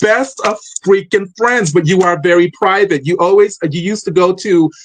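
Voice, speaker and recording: A loud man speaks at a high pitch with ordinary pitch variation. He keeps a moderate pace. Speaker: podcast host. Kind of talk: interview. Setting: live stream.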